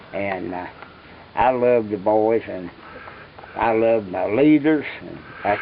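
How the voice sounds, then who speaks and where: Someone with an American accent speaks at a fairly slow pace over noticeable background noise. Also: man. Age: 80s+. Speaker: war veteran. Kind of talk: interview answer.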